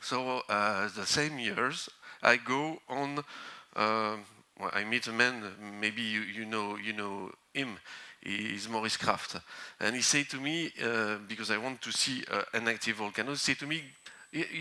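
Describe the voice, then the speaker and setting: Speaking with a French accent, a man keeps a fairly slow pace with long, frequent pauses. His medium-pitched voice has a bright, sharp tone. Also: ordinary pitch variation, very clean recording, silent background. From northern France. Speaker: volcanologist. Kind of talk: conference talk. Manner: halting.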